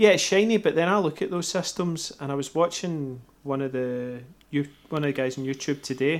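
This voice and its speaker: A man with a Scottish accent and ordinary pitch variation, in a very clean recording with a silent background. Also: fairly high pitch for a man. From Scotland. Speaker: homebrewer and YouTuber, guest co-host. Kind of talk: casual chat.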